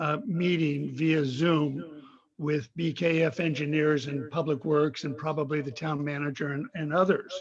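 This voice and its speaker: Here a man with a fairly high pitch sounds somewhat breathy, his intonation fairly even. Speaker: public commenter, bicycle advocate. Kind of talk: public comment at council meeting. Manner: slow.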